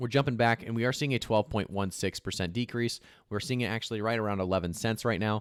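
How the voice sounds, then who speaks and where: Speaking at a very fast pace, a man with a fairly low pitch keeps his intonation fairly even, on a very clean recording with a silent background and a dry, close sound free of echo. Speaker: crypto YouTuber. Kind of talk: casual market commentary video. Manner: filler-heavy, stumbling.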